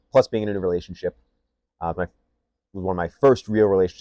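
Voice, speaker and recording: In a Michigan accent, a man speaks with a very deep, low pitch and fairly even intonation, the sound dry and close with no echo. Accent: Midwestern US (Michigan). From Michigan, Canton. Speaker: podcast co-host. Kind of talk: casual chat.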